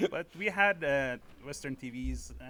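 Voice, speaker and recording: Speaking with an Iranian accent, a man goes at a fairly slow pace. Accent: Iranian (Persian) accent in English. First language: Persian. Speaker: amateur stand-up comedian. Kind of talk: podcast interview. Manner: halting, many fillers.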